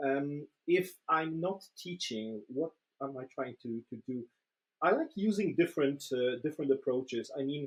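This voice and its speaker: A man talks at a moderate pace with ordinary pitch variation. His pitch is fairly high. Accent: Polish. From Poland. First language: Polish. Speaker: agile trainer and coach. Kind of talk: casual interview. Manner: hesitant, many fillers and repetitions.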